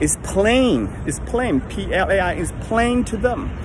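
A man's voice comes through in a dry sound with no echo, with crowd noise in the background. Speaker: lay preacher. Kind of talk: sermon-like casual vlog talk. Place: street. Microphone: phone near.

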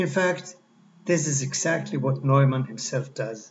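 Over light background noise, a somewhat breathy man talks at a fairly slow pace with ordinary pitch variation. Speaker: lecturer. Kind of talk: lecture. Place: home room. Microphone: webcam.

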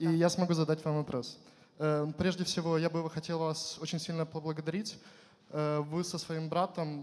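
A man speaks at a moderate pace and fairly high pitch. His intonation is monotone and flat. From Ukraine. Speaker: youth leader, audience questioner; questioner. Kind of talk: audience question. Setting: stage with audience. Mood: warm, grateful, lightly humorous. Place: hall. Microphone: handheld.

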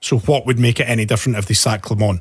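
A man with a Scottish accent, against a quiet background. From Scotland. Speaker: podcast host. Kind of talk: casual chat. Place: studio. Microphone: studio mic.

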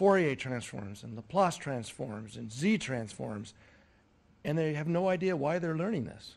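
The pace is fairly slow. A man is the one talking. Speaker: audience member. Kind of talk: audience question. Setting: stage with audience. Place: hall. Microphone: headset.

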